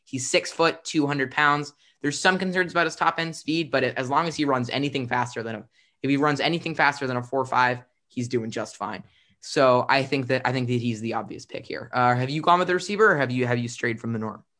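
A voice with a bright, sharp tone and ordinary pitch variation moves at a very fast pace over a quiet background. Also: man, medium pitch for a man. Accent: American. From US, Philadelphia. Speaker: sports podcast host. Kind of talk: casual football discussion. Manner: halting, many repeated words and fillers.

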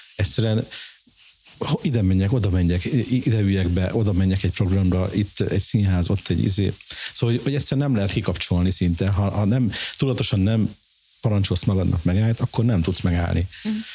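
Very fast and with very even loudness, a man with a fairly low pitch speaks over noticeable background noise. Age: 50s. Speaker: design shop founder and blogger. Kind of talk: casual interview. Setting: office in a flat.

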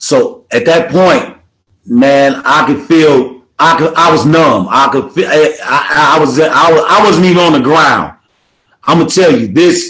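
A man with an American accent, fairly high in pitch, at a fairly slow pace, with ordinary pitch variation and very even loudness. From Milwaukee, Wisconsin. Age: 50s. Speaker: entrepreneur and former prisoner. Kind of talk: interview testimony. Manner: repetitive halting.

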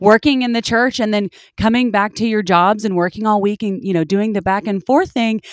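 A woman with an unremarkable speaking voice and a fairly high pitch talks at a fairly quick pace with ordinary pitch variation. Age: 30s. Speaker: podcast co-host and young minister's wife. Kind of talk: author interview.

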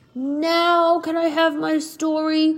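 This put-on character voice has a high pitch and monotone, flat intonation. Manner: begging.

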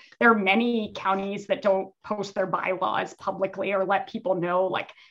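In an American accent, an unremarkable speaking voice keeps a moderate pace and fairly even intonation. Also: woman. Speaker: political consultant and former candidate. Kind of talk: casual interview.

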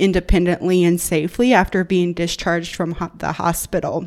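A woman talks with a Southern US accent on a very clean recording with a silent background. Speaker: occupational therapy student and researcher. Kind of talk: casual interview about research.

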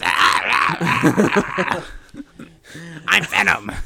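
A man speaks in a raspy, put-on character voice. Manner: growling menacing.

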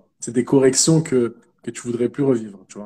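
The pace is moderate. The tone is dark and mellow. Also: man. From Paris, France. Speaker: digital marketer. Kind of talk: interview.

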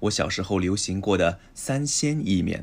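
A man's very slow speech at a fairly low pitch with ordinary pitch variation, on a very clean recording with a silent background. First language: Chinese (speaking Japanese). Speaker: language podcast co-host, Chinese teacher. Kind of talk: reading aloud.

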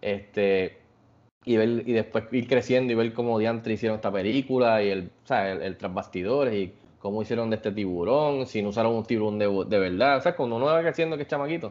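A man with an ordinary speaking voice talks at a fairly quick pace, his medium pitch showing ordinary variation. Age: 40s. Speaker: podcast host. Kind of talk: casual chat.

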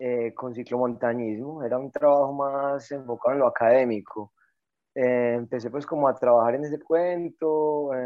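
A man talks in a plain, everyday voice at a medium pitch, a moderate pace and with fairly even intonation. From Colombia, Antioquia (Caldas). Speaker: mountain bike coach. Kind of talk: interview.

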